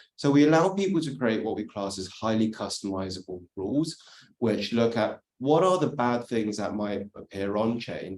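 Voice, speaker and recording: A man with a British accent, fairly low pitch, lively intonation and a moderate pace. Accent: British accent, noticeable. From UK. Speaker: industry speaker on crypto compliance. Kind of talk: workshop presentation.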